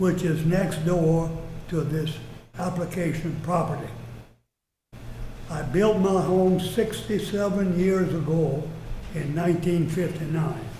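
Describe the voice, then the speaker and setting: Very slow speech with long, frequent pauses comes in a dark, mellow tone with fairly even intonation and audible room echo. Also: man. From Louisiana, Gonzales. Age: 90s. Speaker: resident speaking at council. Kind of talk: public comment. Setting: city council meeting.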